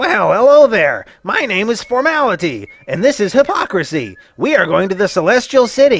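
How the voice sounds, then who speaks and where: A man puts on a smug, high-pitched character voice with very wide pitch swings. He keeps a moderate pace with hardly any pauses. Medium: short film. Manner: smug, glib.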